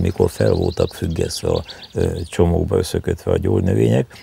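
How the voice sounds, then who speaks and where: A man talks at a moderate pace while noticeable background noise persists. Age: 80s+. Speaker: herbalist. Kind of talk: interview. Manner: halting.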